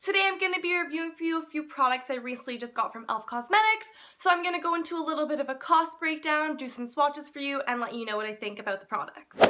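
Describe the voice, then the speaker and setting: A woman speaks very fast in a raised, projected voice with a high pitch. Her tone is bright and sharp, and her intonation is lively. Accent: Canadian. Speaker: beauty blogger. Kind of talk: casual talk to camera.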